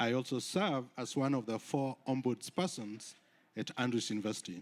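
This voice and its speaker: A man speaks at a moderate pace with a Kenyan accent, medium pitch and ordinary pitch variation. The recording is very clean with a silent background. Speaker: university research compliance officer. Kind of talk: conference presentation. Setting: conference stage with audience.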